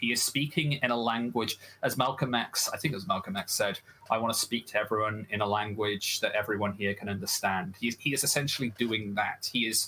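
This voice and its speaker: Over noticeable background noise, a man speaks at a fairly quick pace and a medium pitch with fairly even intonation. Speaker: debate guest. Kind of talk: heated debate.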